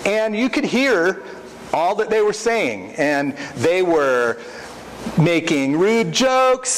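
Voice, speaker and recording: Very wide pitch swings mark a man's very slow speech. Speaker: preacher. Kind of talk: sermon. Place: church.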